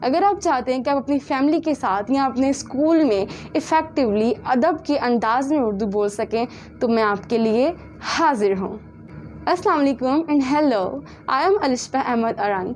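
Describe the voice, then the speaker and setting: Over music in the background, the speaker uses lively intonation and a moderate pace with a Punjabi accent. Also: woman, high pitch for a woman. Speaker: tutor. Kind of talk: sales pitch.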